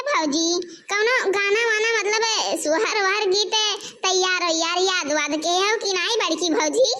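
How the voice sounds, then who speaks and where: Here is a cartoonish character voice from a woman, extremely high in pitch. She keeps a moderate pace. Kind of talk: comic cartoon acting. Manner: chatty, eager.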